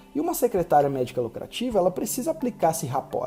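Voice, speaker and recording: This man's voice is high in pitch, with music in the background. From Brazil. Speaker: medical marketing consultant. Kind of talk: recorded online lecture. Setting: live online class at computer. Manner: fast.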